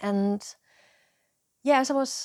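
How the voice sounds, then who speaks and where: A woman talks at a fairly slow pace with ordinary pitch variation. The recording is very clean with a silent background and a dry, close sound with no echo. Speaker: educational video creator. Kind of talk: casual monologue. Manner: halting, with frequent repetitions and fillers.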